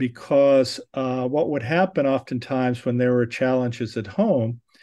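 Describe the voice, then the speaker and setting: A man speaks at a fairly slow pace with medium pitch and fairly even intonation, in a plain, everyday voice. The background is quiet. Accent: American. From Southern California. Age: 60s. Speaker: neurosurgeon and professor. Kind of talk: interview.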